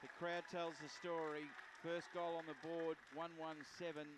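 Over crowd noise in the background, a man with a fairly high voice speaks very slowly in a flat monotone. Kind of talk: live sports commentary.

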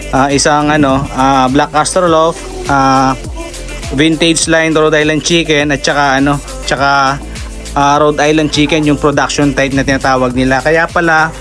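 A man talks in a monotone, flat intonation at very even loudness. Clear music plays in the background. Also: moderate pace. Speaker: backyard poultry keeper vlogger. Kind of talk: casual vlog chat. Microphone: phone near.

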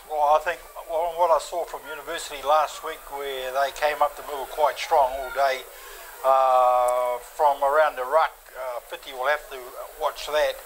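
The voice moves at a moderate pace with fairly even intonation against light background noise. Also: man. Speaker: play-by-play commentator. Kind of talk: sports commentary. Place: stadium.

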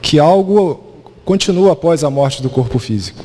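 At a fairly slow pace, a man talks with ordinary pitch variation over light background noise. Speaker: lecturer. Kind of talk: lecture. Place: hall. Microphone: handheld.

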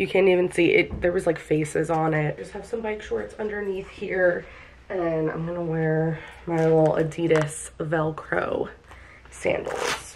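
An ordinary speaking voice from a woman with an American accent, fairly low in pitch, comes at a fairly slow pace with fairly even intonation over light background noise. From New York City (Bronx) until age 10. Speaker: vlogger and hairstylist; vlogger. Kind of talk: casual vlog talk to camera.

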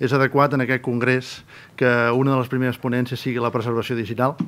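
A man talks at a fairly quick pace in a monotone, flat intonation. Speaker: archive director, conference speaker; conference speaker. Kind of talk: conference presentation. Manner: fast. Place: hall. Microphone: podium.

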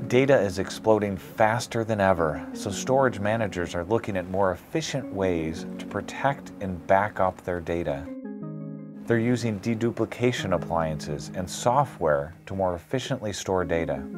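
Clear music plays in the background. A man speaks with a very deep, low pitch. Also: moderate pace. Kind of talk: corporate explainer to camera. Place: office. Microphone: lapel.

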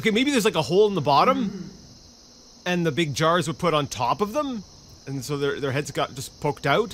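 A man's high voice with very wide pitch swings and a fairly quick pace, amid noticeable background noise. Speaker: gaming YouTuber. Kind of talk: casual gameplay commentary. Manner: halting, filler-heavy; animated.

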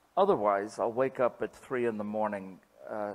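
The man's speech moves at a moderate pace. Its pitch shifts in an ordinary way. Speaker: historian and cartoonist. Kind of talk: lecture with Q&A. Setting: stage with audience. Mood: humorous, anecdotal. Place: hall. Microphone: podium.

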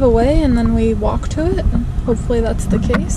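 A woman is recorded with a dry sound with no echo and noticeable background noise. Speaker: travel vlogger. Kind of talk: casual vlog chat. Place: car. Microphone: phone near.

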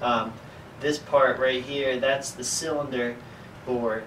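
A man speaks at a moderate pace with fairly even intonation. Light background noise sits underneath. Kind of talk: lecture. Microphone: camera far.

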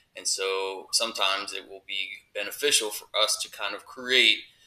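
A fairly slow pace is heard. The voice is a man's. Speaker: teacher. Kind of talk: tutorial. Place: home room. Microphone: webcam.

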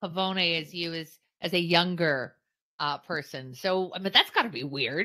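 With a Canadian accent, a woman speaks in a bright, sharp tone at a fairly low pitch, with big swings in loudness against a quiet background. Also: ordinary pitch variation, moderate pace. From Canada. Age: middle-aged. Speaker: podcast co-host. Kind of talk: casual chat. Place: home room. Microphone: studio mic.

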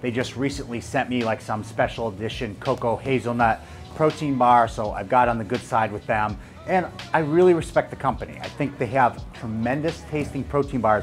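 Faint music sits in the background as a man talks at a fairly quick pace. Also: ordinary pitch variation. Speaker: fitness coach reviewer. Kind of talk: product review to camera. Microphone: lapel.

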